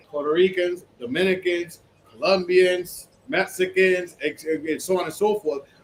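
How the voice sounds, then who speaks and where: A man's high-pitched voice at a moderate pace, ordinary pitch variation, noticeable background noise behind it. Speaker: podcast co-host. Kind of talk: casual chat.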